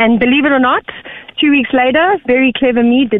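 This woman has a high-pitched voice with a South African accent. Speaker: caller. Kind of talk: casual chat.

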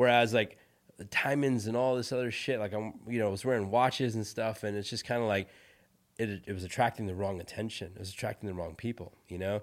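In a very clean recording with a silent background, a man with a Californian accent talks at a fairly quick pace, his fairly low pitch carried by fairly even intonation. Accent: Californian American. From US West Coast (San Francisco Bay Area), born in India. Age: 40s. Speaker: tech entrepreneur. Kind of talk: interview.

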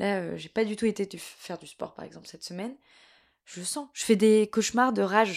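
A woman with a normal speaking voice talks at a medium pitch and a moderate pace, with ordinary pitch variation and big swings in loudness. The recording is very clean, with a silent background. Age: 20s. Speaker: actress and cultural media co-founder. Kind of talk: casual chat.

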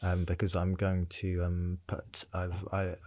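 A man's very deep, low, somewhat breathy voice on a very clean recording with a silent background. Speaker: podcast host. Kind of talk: casual interview chat.

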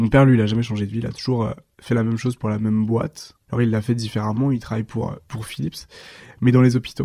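A dark, mellow tone at a very fast pace, with fairly even intonation. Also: man, medium pitch for a man. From eastern France (Dijon, Haute-Marne countryside). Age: 20s. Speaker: magazine founder. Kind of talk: interview. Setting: at home.

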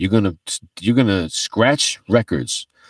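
This is a man with an ordinary speaking voice, medium in pitch, with an American accent. The recording is very clean, with a silent background. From US East Coast. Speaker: DJ and turntablist, DJ instructor. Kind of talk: casual interview.

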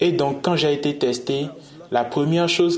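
A man talks at a fairly slow pace. The recording carries noticeable background noise and audible room echo. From Nigeria. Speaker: LGBT activist. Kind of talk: interview.

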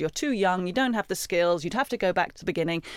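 In a British accent, a woman speaks with lively intonation on a very clean recording with a silent background. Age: 40s. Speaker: career coach and former journalist. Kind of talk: interview.

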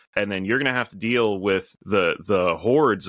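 A man with an American accent and an ordinary speaking voice talks at a moderate pace and a fairly low pitch, on a very clean recording with a silent background and a dry, close sound with no echo. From US Midwest. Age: 30s. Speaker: bunker company executive. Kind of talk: interview.

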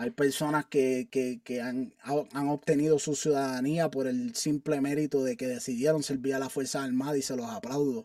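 A man with a dark, mellow tone speaks at a moderate pace with hardly any pauses, the sound dry and close with no echo. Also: fairly high pitch for a man, lively intonation. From Puerto Rico (Carolina). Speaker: army sergeant. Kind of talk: interview.

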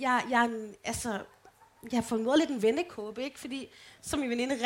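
Here a woman is speaking. Her pace is very fast. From Denmark, Holme near Aarhus. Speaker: podcast co-host. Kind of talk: live show banter. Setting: stage with audience.

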